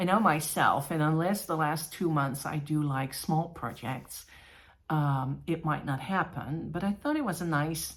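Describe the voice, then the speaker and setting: Somewhat breathy and very deep, a woman's voice moves at a fairly slow pace with ordinary pitch variation. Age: 50s. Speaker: cross-stitch vlogger. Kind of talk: casual show-and-tell vlog.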